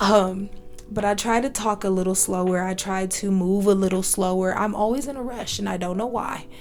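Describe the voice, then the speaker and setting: Music plays in the background, and room echo is audible. A woman speaks with fairly even intonation. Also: medium pitch for a woman, moderate pace. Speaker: solo podcast host. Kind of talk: self-help podcast monologue. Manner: casual, many fillers and restarts.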